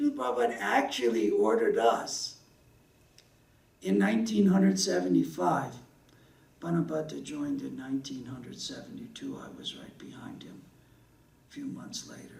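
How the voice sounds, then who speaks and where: An American-accented man talks at a moderate pace with long, frequent pauses. His loudness swings widely, and the room echo is audible. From US South. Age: 60s. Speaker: religious speaker. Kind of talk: sermon.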